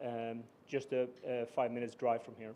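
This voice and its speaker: A man talks at a moderate pace with a slight Swedish accent. His tone is dark and mellow. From Sweden. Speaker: business executive. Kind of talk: formal speech. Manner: halting, many fillers.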